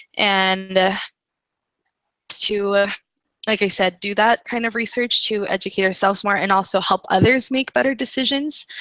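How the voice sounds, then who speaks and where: A woman speaks at a moderate pace with a medium pitch, ordinary pitch variation and a bright, sharp tone, leaving long, frequent pauses in a dry, close recording with no echo. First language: not English. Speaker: student in online class. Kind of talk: group discussion.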